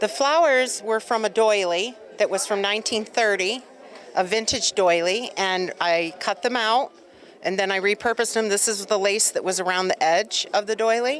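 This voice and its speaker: A woman talks in a normal speaking voice at a fairly high pitch. Her pace is moderate and her pitch varies in an ordinary way. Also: very even loudness. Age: 60s. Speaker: artist. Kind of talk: casual interview. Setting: event venue.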